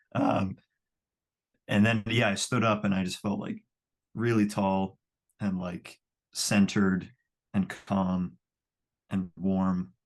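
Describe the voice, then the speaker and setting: A man talks at a very slow pace in a monotone, flat delivery broken by long, frequent pauses. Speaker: singer and songwriter, client. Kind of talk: casual interview. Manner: halting, many fillers.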